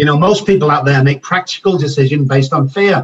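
Somewhat breathy and fairly high-pitched, a man speaks fairly quickly in a Liverpool accent with ordinary pitch variation. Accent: Liverpool (Scouse) English. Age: 50s. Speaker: addiction doctor. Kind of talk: interview.

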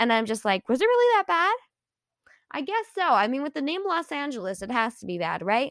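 Her voice is high and animated, with very wide pitch swings. The woman talks fairly quickly, and the sound is dry and close, with no echo. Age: 20s. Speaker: podcast host and content creator. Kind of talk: casual monologue.

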